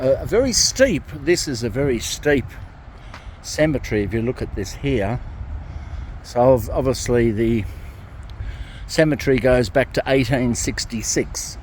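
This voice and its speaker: Here a man talks at a fairly slow pace in an Australian accent. He leaves long, frequent pauses. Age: 60s. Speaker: ex-Jehovah's Witness vlogger. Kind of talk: casual vlog monologue. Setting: outdoors, walking in a cemetery. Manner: rambling, repetitive with many fillers.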